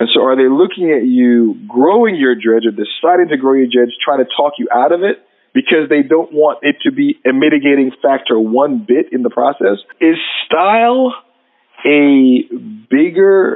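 In a plain, everyday voice, a man with a fairly high pitch speaks at a moderate pace with lively intonation and very even loudness. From New York City. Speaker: podcast host. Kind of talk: interview.

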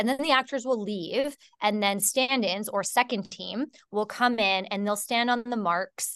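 With a Canadian accent, a woman speaks fairly slowly in an unremarkable speaking voice with ordinary pitch variation. The sound is dry and close with no echo over a quiet background. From Canada. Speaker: filmmaker and actor. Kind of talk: interview.

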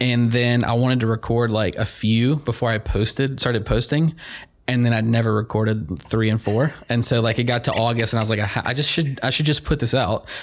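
With a normal speaking voice at medium pitch, a man talks at a fairly quick pace, keeping very even loudness and ordinary pitch variation. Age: 30s. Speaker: podcast host. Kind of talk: casual interview; podcast intro monologue.

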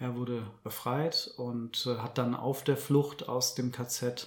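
A man speaks in a somewhat breathy voice with fairly even intonation. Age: 30s. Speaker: journalist and author. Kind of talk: interview. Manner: careful, measured.

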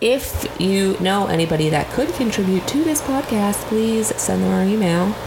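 This woman's voice sits at a medium pitch with lively intonation. Noticeable background noise runs behind her. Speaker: podcast co-host. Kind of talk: casual chat.

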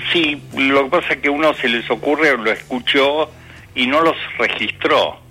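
Music plays in the background as a man with a fairly high pitch speaks at a fairly slow pace, his loudness very even and his intonation fairly even. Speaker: retired teacher and author. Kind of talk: casual chat.

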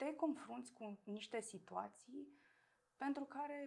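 There is vocal fry in this woman's voice. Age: 30s. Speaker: person with multiple sclerosis. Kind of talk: interview.

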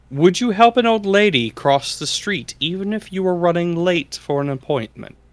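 A man's high-pitched voice at a moderate pace, with lively intonation and hardly any pauses. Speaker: podcast host. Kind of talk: casual banter. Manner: joking, playful.

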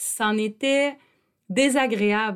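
A woman with a Quebec accent speaks in an animated tone. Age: 40s. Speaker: podcast host and psychoeducator. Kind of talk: personal monologue.

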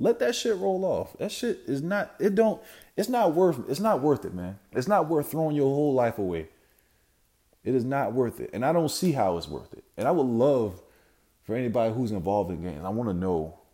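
Speaking at a fairly quick pace, a man with a fairly high pitch makes very wide pitch swings in a very clean recording with a silent background. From South Carolina (Sumter). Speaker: podcast host. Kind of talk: solo monologue. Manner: casual, many fillers.

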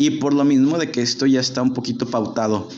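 A man is speaking. He has a Jalisco accent. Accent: Mexican Spanish, Jalisco. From Mexico, Guadalajara. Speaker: podcast host. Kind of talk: casual chat. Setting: live stream.

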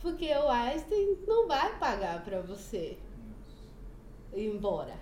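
Amid noticeable background noise and audible room echo, a woman talks very slowly with lively intonation. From Bahia, Brazil (Feira de Santana). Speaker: churchgoer sharing her life story. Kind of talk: testimony. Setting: studio.

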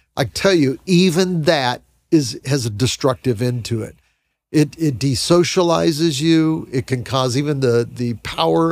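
An ordinary speaking voice from a man at a fairly high pitch, with lively intonation, a moderate pace, and a very clean recording with a silent background. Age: 60s. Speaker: Bible podcast co-host. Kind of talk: casual Bible discussion.

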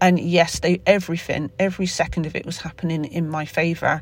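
A woman with a Somerset accent, fairly low in pitch, with fairly even intonation. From Somerset, England. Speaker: podcaster. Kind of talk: casual solo podcast, unscripted. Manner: informal, rambling, halting with fillers.

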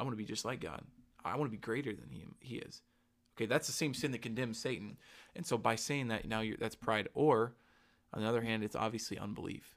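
A man with an American accent, medium pitch, ordinary pitch variation and a very fast pace. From US South. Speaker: podcast host. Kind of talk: casual chat.

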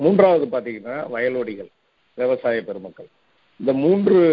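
A man talks in a plain, everyday voice. His intonation is lively. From Tamil Nadu, Cuddalore district village. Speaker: agriculture professor. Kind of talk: interview. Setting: radio interview.

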